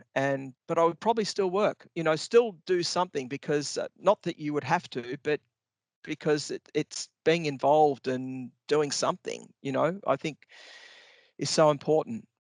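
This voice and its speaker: A man with an Australian accent speaks with ordinary pitch variation. The recording is very clean with a silent background, and the sound is dry and close with no echo. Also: fairly high pitch for a man, moderate pace. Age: 60s. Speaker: business executive. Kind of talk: podcast interview.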